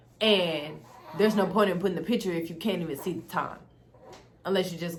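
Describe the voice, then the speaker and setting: A woman speaks very fast in a fairly low voice. Noticeable background noise and audible room echo are present. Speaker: beauty and tech YouTuber. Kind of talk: tutorial. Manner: casual, chatty.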